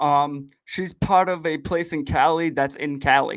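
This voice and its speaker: On a very clean recording with a silent background, a man with a strong Boston accent and a fairly high pitch speaks in an animated tone. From southern Massachusetts. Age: 30s. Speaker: podcast host. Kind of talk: casual chat. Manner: animated, casual.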